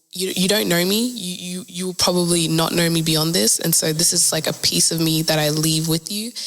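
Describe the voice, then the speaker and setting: The woman's voice sits at a fairly low pitch, with noticeable background noise behind it. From South Sudan, migrated to Australia. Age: young. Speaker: spoken word poet. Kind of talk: podcast interview. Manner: hesitant, many fillers.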